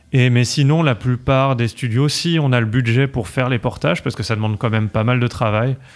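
Ordinary pitch variation at a fairly quick pace. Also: man, medium pitch for a man. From France, Paris. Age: 30s. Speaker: video game developer. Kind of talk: podcast interview.

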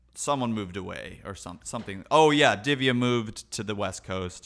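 The speaker is a man with an unremarkable speaking voice and a medium pitch. He moves at a moderate pace with ordinary pitch variation. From Chicago, US Midwest. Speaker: jazz keyboard player. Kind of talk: casual chat.

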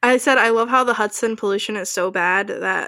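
At a moderate pace, a woman with an American accent talks in a fairly high pitch with lively intonation and a bright, sharp tone, in a very clean recording with a silent background. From New Jersey. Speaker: podcast co-host. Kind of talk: casual chat.

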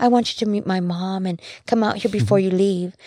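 A woman talks at a fairly quick pace in a medium pitch. Her voice is somewhat breathy. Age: 60s. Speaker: army veteran and intercessor. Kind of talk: testimony.

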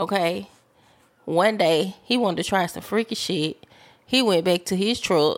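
An unremarkable speaking voice from a woman at medium pitch, fairly slow, with ordinary pitch variation, on a very clean recording with a silent background. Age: 40s. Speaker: podcast guest. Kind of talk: casual chat.

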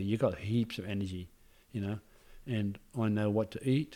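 With an Australian accent, a man speaks at a fairly quick pace. His tone is dark and mellow, with ordinary pitch variation. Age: 60s. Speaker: personal trainer, former footballer. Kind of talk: casual interview.

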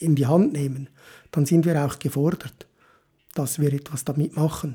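This man's tone is dark and mellow, with some breathiness. His pace is moderate. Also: very clean recording, silent background. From Switzerland. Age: 50s. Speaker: motivational podcaster. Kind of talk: motivational monologue.

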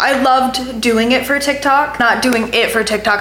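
In an American accent, a woman speaks as noticeable noise fills the background. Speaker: podcast host. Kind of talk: casual chat. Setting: in a family home in Dallas. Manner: animated.

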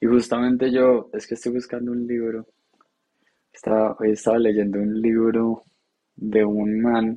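A man speaks at a medium pitch and a fairly slow pace, his flat, monotone delivery broken by long, frequent pauses. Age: 20s. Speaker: podcast co-host. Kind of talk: casual chat.

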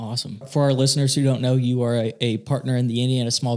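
This man has a normal speaking voice at medium pitch, with fairly even intonation. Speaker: podcast co-host. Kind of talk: interview.

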